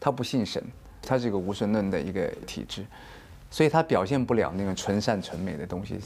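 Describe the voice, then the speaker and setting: A man with a fairly low pitch and an unremarkable speaking voice talks at a fairly quick pace with ordinary pitch variation. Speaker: dancer and choreographer. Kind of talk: interview.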